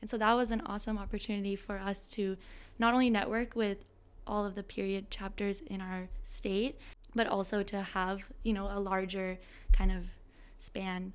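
This woman has an unremarkable speaking voice at medium pitch. She keeps a moderate pace and fairly even intonation. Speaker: student organization president. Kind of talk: interview conversation.

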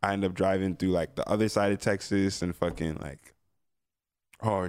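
A man with a fairly low pitch speaks in a plain, everyday voice at a moderate pace. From North Jersey, US. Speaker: hip-hop artist. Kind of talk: casual chat.

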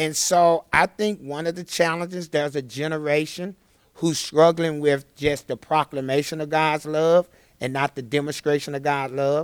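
Dry and close with no echo, a man's fairly high voice keeps a moderate pace and fairly even intonation. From Chattanooga, Tennessee. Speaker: ministry director and preacher. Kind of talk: interview testimony.

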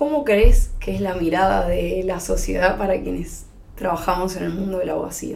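A woman talks at a moderate pace with noticeable background noise and audible room echo. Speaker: podcast host and lawyer. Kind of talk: interview.

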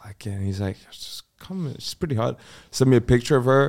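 A man speaks in an ordinary speaking voice at a medium pitch and a fairly quick pace. His intonation is lively, and the recording is very clean with a silent background. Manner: joking.

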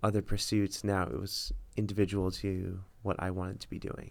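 With an American accent, a man talks at a moderate pace in an unremarkable speaking voice, on a very clean recording with a silent background. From US South, Miami, Florida. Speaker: medical student, future radiologist. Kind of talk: casual chat.

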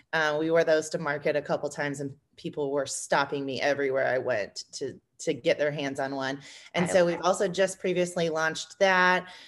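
With a US Midwestern accent, the speaker keeps a fairly quick pace and fairly even intonation against a quiet background. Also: woman, very deep, low pitch for a woman. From Indiana, US Midwest. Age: 30s. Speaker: small business co-owner. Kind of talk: podcast interview.

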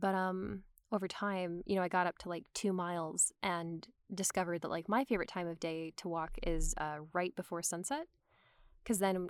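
A woman with an American accent talks at a moderate pace. Her intonation is fairly even, and the sound is dry and close, with no echo. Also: very clean recording, silent background. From US South (Georgia). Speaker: actor and voiceover artist. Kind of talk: casual chat. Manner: chatty, many fillers.

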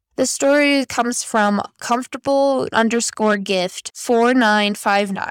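A woman speaks at a very slow pace with hardly any pauses. Her pitch is fairly high. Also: ordinary pitch variation. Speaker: podcast host. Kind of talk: ghost story reading aloud, spooky bedtime-style storytelling of Reddit tales. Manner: casual and friendly in intro and outro.

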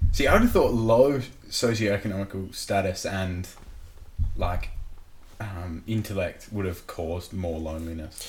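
A man's somewhat breathy, fairly low voice at a fairly slow pace, with ordinary pitch variation and long, frequent pauses. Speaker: podcast co-host. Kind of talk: casual banter podcast chat.

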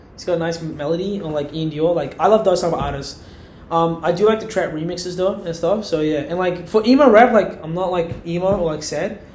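Over noticeable background noise and audible room echo, a man talks at a fairly quick pace. His voice is high, with ordinary pitch variation. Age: young. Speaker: university student. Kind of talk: casual chat.

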